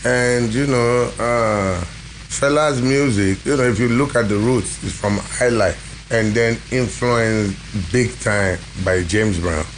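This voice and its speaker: A man's very slow, fairly low-pitched speech at very even loudness, with audible room echo and noticeable background noise. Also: ordinary pitch variation. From Nigeria, Ibadan. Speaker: musician, bandleader. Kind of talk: casual interview.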